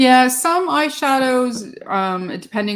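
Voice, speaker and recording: Very wide pitch swings in a German accent. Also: woman. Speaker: beauty YouTuber. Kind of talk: casual chat.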